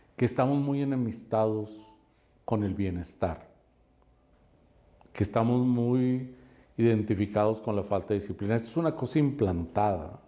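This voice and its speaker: A man with a non-native accent and a dark, mellow tone talks at a fairly slow pace with long, frequent pauses and ordinary pitch variation. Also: medium pitch for a man. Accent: sounds somewhat foreign when speaking. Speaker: real estate coach and investment adviser. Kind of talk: podcast interview. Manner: animated.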